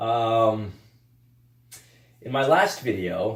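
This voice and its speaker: In a room with audible echo, a man with a medium-pitched, somewhat breathy voice speaks in an animated tone. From Russia, raised in the Carolinas from age eight. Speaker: podcast host. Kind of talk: casual monologue podcast. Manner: animated, many fillers and restarts. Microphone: recorded without external mic.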